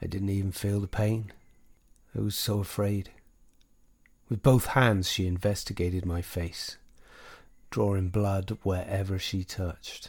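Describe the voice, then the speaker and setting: In a very clean recording with a silent background, a man speaks at a fairly low pitch and fairly slow pace, somewhat breathy and monotone, with long, frequent pauses. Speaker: audiobook narrator. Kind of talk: horror story narration, read aloud in a hushed, creeping tone. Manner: formal, old-fashioned storyteller delivery.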